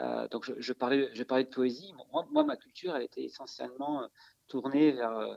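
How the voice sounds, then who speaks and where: Dry and close with no echo, the recording captures a man talking at a moderate pace. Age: 40s. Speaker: amateur writer in a writing workshop. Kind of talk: interview. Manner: halting, many repetitions and fillers.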